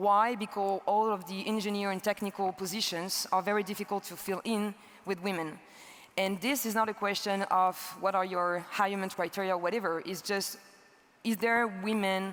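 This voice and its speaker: Speaking in a French accent, a woman with a medium pitch keeps a moderate pace and a monotone, flat intonation. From France. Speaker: energy entrepreneur. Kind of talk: conference talk. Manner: halting.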